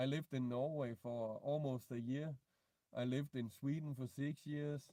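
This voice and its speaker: A man speaks with a Danish accent. His tone is dark and mellow. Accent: non-native English, Danish. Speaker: vlogger. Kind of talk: live stream Q&A. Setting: in a car. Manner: halting.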